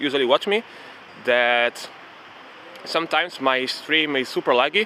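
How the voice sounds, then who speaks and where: Male speech with noticeable background noise, moderately paced, with ordinary pitch variation. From Italy, Rome. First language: Italian. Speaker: streamer. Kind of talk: casual live-stream chat. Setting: outdoors, walking in city park.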